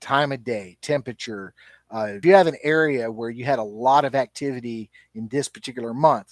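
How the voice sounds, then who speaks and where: A man in a Southern US accent at a fairly quick pace, with big swings in loudness and ordinary pitch variation, on a very clean recording with a silent background and a dry, close sound with no echo. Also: medium pitch for a man. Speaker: YouTuber and Bigfoot researcher. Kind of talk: live stream chat. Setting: live stream. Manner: casual, with many fillers.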